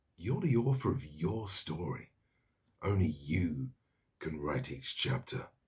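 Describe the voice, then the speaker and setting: Somewhat breathy and very deep in pitch, a man speaks at a fairly slow pace with very wide pitch swings and long, frequent pauses. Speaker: voice actor. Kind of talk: TV commercial read.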